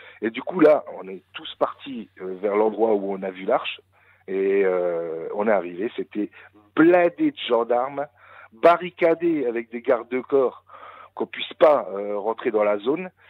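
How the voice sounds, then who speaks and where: Speaking fairly slowly with long, frequent pauses, a man uses a medium pitch and lively intonation, his loudness swinging widely. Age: 40s. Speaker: caller telling UFO encounter. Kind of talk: testimony. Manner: halting.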